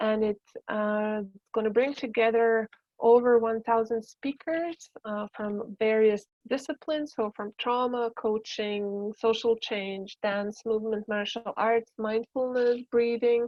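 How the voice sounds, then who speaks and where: A woman speaks at a fairly slow pace with a fairly high pitch. Her intonation stays fairly even. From Balkans. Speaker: embodiment educator and dancer. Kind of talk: talk to an online workshop group.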